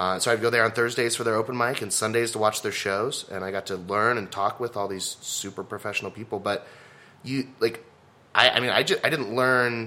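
In an American accent, the speaker talks at a fairly quick pace with a bright, sharp tone and fairly even intonation. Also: man, medium pitch for a man. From Texas. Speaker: stand-up comedian. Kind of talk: casual interview chat. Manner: loud, projecting voice.

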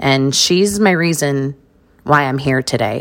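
Here is a woman with an American accent. Her pitch varies in an ordinary way. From New York (Queens area) and Las Vegas. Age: 30s. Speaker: caregiver and social media creator. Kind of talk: casual interview, personal story.

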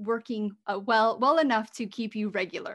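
With an American accent and a plain, everyday voice, a woman speaks at a moderate pace and a fairly high pitch in a very clean recording with a silent background. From US. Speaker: podcast host, holistic fertility coach. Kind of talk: solo podcast monologue, advice.

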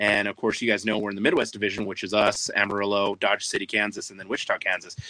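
Very fast, monotone speech from a man at fairly low pitch, big swings in loudness, noticeable background noise. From New Mexico. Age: 30s. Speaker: indoor soccer club owner. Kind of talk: casual chat.

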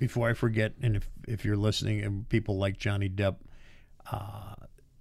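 In an American accent, a man talks at a moderate pace with a fairly low pitch and a somewhat breathy voice. The recording is very clean, with a silent background. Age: 60s. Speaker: podcast co-host. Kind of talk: casual chat. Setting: studio. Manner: hesitant, many fillers.

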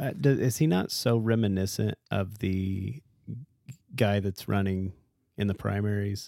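A man with a normal speaking voice, a fairly slow pace, and ordinary pitch variation. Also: fairly low pitch for a man. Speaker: podcast co-host. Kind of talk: casual chat.

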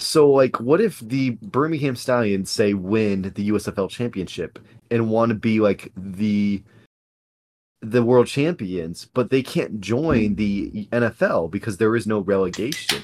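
A man speaks in a normal speaking voice at medium pitch. His pace is fairly slow, with ordinary pitch variation. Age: 20s. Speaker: sports podcast co-host. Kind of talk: casual chat.

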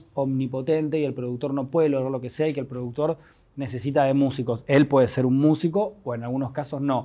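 Speaking at a fairly quick pace in a Rioplatense accent, a man has a fairly high pitch and a dark, mellow tone. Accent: Rioplatense Spanish (porteño). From Buenos Aires, Argentina. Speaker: musician and producer. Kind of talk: personal testimony. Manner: halting, with many repetitions.

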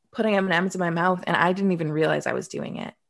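A woman's fairly low voice with vocal fry and fairly even intonation over a quiet background. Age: 30s. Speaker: life coach and mental health advocate. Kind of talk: interview.

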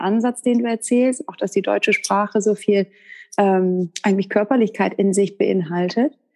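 Against a quiet background, a woman talks at a moderate pace in a dark, mellow tone. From northern Germany (Westerkappeln). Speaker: podcast host. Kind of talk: interview.

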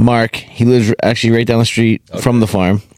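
This is a plain, everyday voice at a moderate pace, with a dry, close sound and no echo. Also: man. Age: 30s. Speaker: podcast co-host. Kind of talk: casual chat. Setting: studio.

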